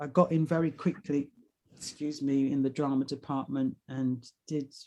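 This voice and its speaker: Her pitch is very deep and low, with a dark, mellow tone. The woman speaks at a fairly slow pace with fairly even intonation. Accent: London. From London, England. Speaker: actor, writer and singer. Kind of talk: casual interview chat. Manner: gentle, winding.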